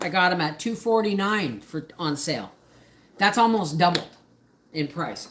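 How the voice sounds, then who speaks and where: The speaker has an ordinary speaking voice, a moderate pace and lively intonation. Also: woman. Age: 50s. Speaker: homesteading channel host. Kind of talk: casual livestream chat. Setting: home kitchen livestream. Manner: chatty, with frequent fillers and repeats.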